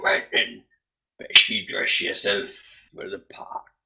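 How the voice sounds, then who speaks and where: A raspy, put-on character voice from a man at an extremely high pitch, delivered at a fairly slow pace. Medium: actual play. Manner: blunt, plain-spoken.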